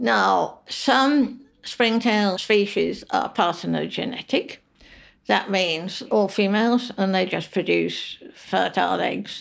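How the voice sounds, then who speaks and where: In a very clean recording with a silent background, a woman speaks at a very slow pace with very even loudness. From London, England. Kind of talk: interview.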